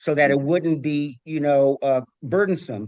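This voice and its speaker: A man has an unremarkable speaking voice, pitched fairly high with ordinary pitch variation, and he talks at a moderate pace. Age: 60s. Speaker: community advocate presenting a proposal. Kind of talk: public meeting presentation. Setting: commission meeting.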